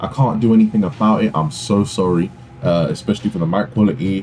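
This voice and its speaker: A man speaks with a British accent at a moderate pace. Music plays in the background. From UK. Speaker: gaming YouTuber. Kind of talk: gameplay commentary. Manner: hesitant, many fillers. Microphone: poor mic quality.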